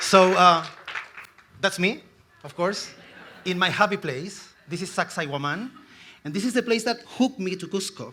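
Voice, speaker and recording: A man with a high-pitched voice projects loudly at a moderate pace, his volume swinging widely and his pitch varying in an ordinary way between long, frequent pauses. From Chile. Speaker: tourism executive. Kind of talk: conference talk.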